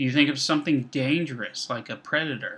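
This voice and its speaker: A man's fairly high, bright and sharp voice at a moderate pace, with ordinary pitch variation, on a very clean recording with a silent background. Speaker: instructor. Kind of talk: recorded lecture. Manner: measured tone.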